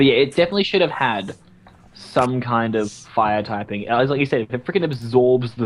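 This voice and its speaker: Speaking at a fairly quick pace with lively intonation, a man with an Australian accent uses a medium pitch. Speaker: podcast host. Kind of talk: casual chat.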